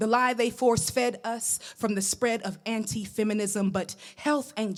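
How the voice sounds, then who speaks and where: A woman with an American accent uses an ordinary speaking voice of medium pitch with ordinary pitch variation. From New York. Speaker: poet. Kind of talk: spoken word poetry performance.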